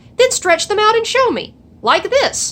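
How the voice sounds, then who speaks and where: In a squeaky, extremely high-pitched put-on character voice, a woman talks at a moderate pace. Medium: read story. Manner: bold, teasing.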